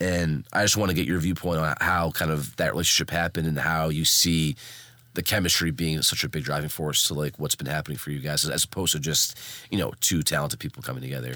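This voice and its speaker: A man with an American accent, very deep and low in pitch, with a bright, sharp tone and vocal fry, very fast delivery, ordinary pitch variation, and a very clean recording over a silent background. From Boston. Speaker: podcast host. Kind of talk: casual interview.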